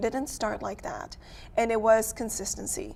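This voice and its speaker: A woman speaks at a fairly quick pace with a fairly high pitch. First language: not English. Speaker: photographer and business owner. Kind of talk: casual chat.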